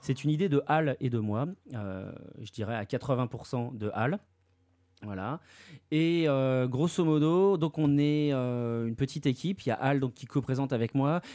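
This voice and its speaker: Using a dark, mellow tone, a man speaks at a medium pitch and a fairly slow pace with ordinary pitch variation. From Paris region, France. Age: 30s. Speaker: manga industry worker and website owner. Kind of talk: casual chat.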